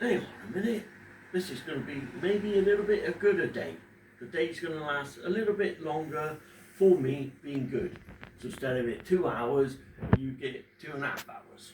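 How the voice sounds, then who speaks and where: At a moderate pace, a man with a fairly high pitch uses lively intonation and takes long, frequent pauses. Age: 50s. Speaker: father talking about depression. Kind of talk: casual personal talk to camera. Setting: at home in front of a fish tank. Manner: halting, pausing when emotional.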